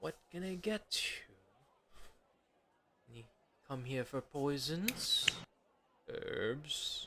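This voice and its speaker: Using a put-on character voice, a man speaks at a high pitch and a very slow pace, with long, frequent pauses. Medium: actual play.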